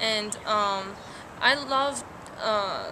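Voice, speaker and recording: A woman with a Persian accent speaks at a medium pitch, with audible room echo and noticeable background noise. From Iran. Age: 19. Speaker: college student. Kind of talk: interview. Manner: hesitant, many fillers.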